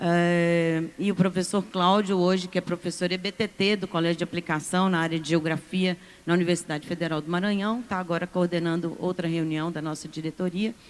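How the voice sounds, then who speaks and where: A woman's fairly low voice, monotone and flat, at a fairly quick pace with hardly any pauses, on a very clean recording with a silent background. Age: 60s. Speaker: university professor and union representative. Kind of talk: conference panel speech.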